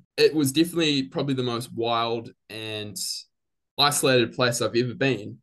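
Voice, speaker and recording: A man with a New Zealand accent talks at a moderate pace in a medium pitch with ordinary pitch variation, against a quiet background. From New Zealand, Christchurch. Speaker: biology graduate. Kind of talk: interview.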